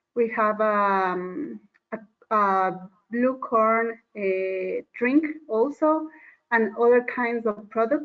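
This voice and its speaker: Very slowly, a woman speaks with a fairly high pitch. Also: ordinary pitch variation. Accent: Spanish. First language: Spanish. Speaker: conservation program worker. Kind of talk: online panel discussion. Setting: video call. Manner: hesitant. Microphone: microphone problems.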